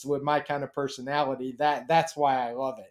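A man speaks in a normal speaking voice at a moderate pace. His pitch is fairly high. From US, Baltimore, Maryland. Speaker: horse racing handicapper. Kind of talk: interview.

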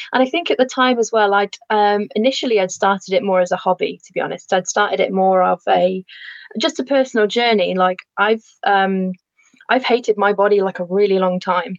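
In a Lancashire accent, the speaker moves at a fairly quick pace with ordinary pitch variation and very even loudness, the sound dry and close with no echo. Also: woman, medium pitch for a woman. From northern England, Lancashire. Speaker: landscape architect and photographer. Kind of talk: casual chat.

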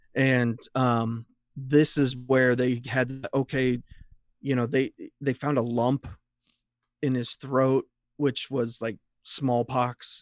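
A man speaks at a very slow pace with a Midwestern US accent, his medium-pitched voice flat and monotone, broken by long, frequent pauses, in a dry, close recording with no echo. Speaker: horror writer, magazine founder. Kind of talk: casual chat.

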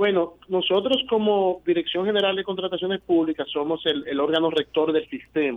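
A man talks with a high pitch. He speaks with hardly any pauses. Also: ordinary pitch variation, moderate pace. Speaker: government official. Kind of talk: interview. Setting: phone call. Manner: formal.

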